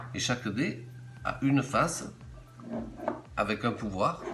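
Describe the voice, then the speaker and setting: Over background music, a man speaks at a medium pitch. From Hautes-Alpes, France. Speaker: game inventor. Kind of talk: game rules explanation.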